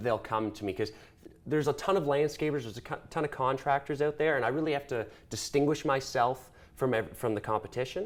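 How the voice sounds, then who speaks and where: Speaking very fast with a Canadian accent, a man uses ordinary pitch variation. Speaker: small business owner. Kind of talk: interview. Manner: loud; animated.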